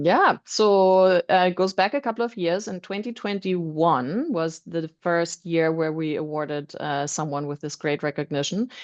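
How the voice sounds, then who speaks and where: With a German accent, the speaker moves at a moderate pace with hardly any pauses, in a dry, close sound with no echo over a quiet background. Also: woman, fairly low pitch for a woman, ordinary pitch variation. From Germany. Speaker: roofing supply executive. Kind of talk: panel discussion. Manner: many filler ums.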